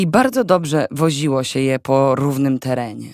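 A calm tone at a fairly slow pace on a very clean recording with a silent background. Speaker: audiobook narrator. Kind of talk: audiobook narration, first-person novel reading. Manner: calm, steady narrator, with wry, sarcastic inner commentary.

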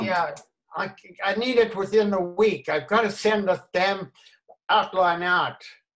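A man speaks at a fairly slow pace in a high voice, his intonation fairly even, with long, frequent pauses over a quiet background. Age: 80s+. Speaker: elderly man in lockdown. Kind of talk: short film dialogue, phone call. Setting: video call. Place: home room. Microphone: video call.

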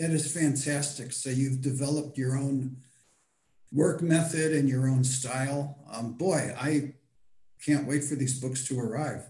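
Audible room echo surrounds a man speaking at a fairly high pitch in a dark, mellow tone that is somewhat breathy. His pace is fairly slow and his intonation is monotone and flat. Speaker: audience member. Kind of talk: audience question. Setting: video call. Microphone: video call.

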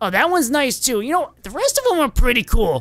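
A put-on character voice at a fairly high pitch, with faint music in the background. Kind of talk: casual role play banter. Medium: role play.

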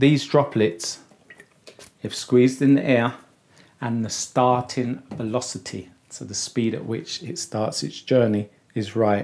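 Here a man is talking. His pitch varies in an ordinary way. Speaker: barber educator. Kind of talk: tutorial. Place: studio.

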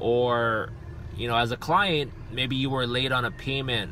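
A man speaks at a moderate pace in a dry sound with no echo. Noticeable background noise runs behind him. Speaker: personal trainer vlogger. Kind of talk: casual vlog chat. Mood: earnest, reflective. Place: car. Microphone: phone near.

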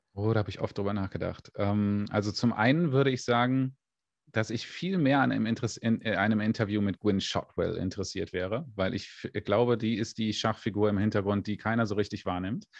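The man's voice is fairly low, with ordinary pitch variation at a fairly quick pace. The sound is dry with no echo against a quiet background. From Germany. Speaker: space YouTuber. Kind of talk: interview. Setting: livestream. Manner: hesitant, many fillers. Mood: relaxed, friendly, smiling. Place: home room. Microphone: studio mic.

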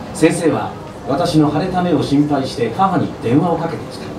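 A man speaks while noticeable background noise is present. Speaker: former radio announcer. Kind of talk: live book reading at an event, reading an abuse memoir aloud. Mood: grave, somber. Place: bar.

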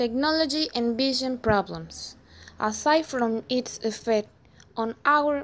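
A high-pitched woman with a non-native accent at a very slow pace, showing ordinary pitch variation. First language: not English. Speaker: EFL student. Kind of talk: scripted class presentation reading.

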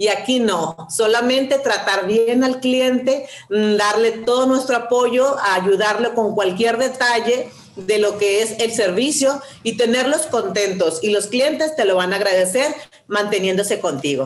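At a fairly high pitch and very even loudness, a woman speaks with audible room echo. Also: ordinary pitch variation, fairly slow pace. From Sonora, Mexico. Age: 50s. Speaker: network marketing distributor. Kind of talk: testimony. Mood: warm, smiling, enthusiastic. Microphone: video call.

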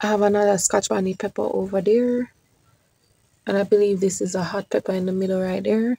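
A woman's fairly quick, monotone delivery with flat intonation, a Jamaican accent, a dark, mellow tone and medium pitch, dry with no echo. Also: quiet background. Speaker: YouTube gardener. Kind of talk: garden tour vlog. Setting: outdoors in garden. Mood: grateful, relaxed. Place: garden. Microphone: phone near.

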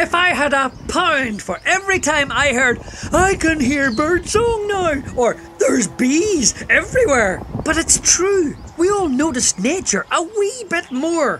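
Over clear background noise, a high, cartoonish character voice speaks at a fairly slow pace. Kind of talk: public service announcement. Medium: puppet. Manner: blunt, scolding, exasperated.

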